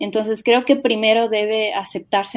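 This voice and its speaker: A woman with a plain, everyday voice speaks at a medium pitch and a moderate pace. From Ecuador, Quito. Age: 30s. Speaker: missionary. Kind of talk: interview.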